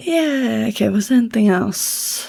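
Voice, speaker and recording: A woman talks at a very slow pace, with vocal fry in her voice. Her pitch makes very wide swings. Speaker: book app vlogger. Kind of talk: casual chat. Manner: hesitant; whispering.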